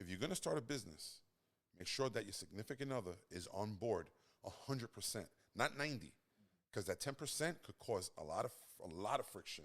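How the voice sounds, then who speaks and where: Speaking with a New York accent, a man at medium pitch moves at a fairly quick pace with very wide pitch swings and long, frequent pauses. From Brooklyn, New York. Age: 40s. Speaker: podcast co-host, custom business owner. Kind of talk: casual chat.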